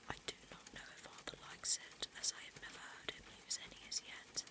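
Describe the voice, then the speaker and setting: Someone whispers at a moderate pace, and background noise is clearly noticeable. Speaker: VTuber ASMR creator. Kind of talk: whispered audiobook-style reading of a novel. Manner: soft, intimate, gentle narration.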